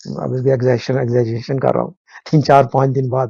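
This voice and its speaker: The voice has a dark, mellow tone in a dry, close sound with no echo. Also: man. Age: 60s. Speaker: current affairs commentator. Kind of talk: live talk show discussion. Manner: halting, many fillers.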